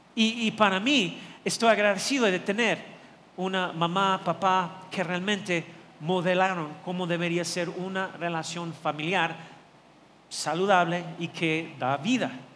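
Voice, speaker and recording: A man's high voice at a fairly slow pace, with ordinary pitch variation and audible room echo. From not from Mexico. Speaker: pastor. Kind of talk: sermon. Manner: halting.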